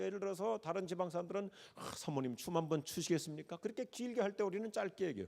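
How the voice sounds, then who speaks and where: This voice moves at a very fast pace with ordinary pitch variation. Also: man. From Korea, Chungcheong province. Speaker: pastor. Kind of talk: sermon.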